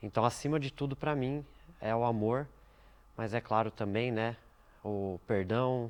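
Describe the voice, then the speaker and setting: A man speaks at a fairly slow pace in a medium pitch, his intonation fairly even and broken by long, frequent pauses. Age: 20s. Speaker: church member, graphic designer. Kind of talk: documentary interview.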